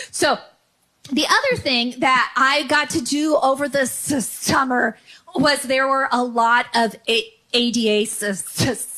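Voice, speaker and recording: A woman uses a raised, projected voice at high pitch with an American accent. Her pace is fairly slow, with ordinary pitch variation and very even loudness. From San Francisco Bay Area, California. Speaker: comedian. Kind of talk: stand-up. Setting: comedy club. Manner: repetitions and blocks on sounds.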